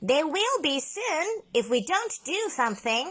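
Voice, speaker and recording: Putting on a character voice, a woman speaks at a fairly slow pace with an extremely high pitch and very wide pitch swings. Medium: read story.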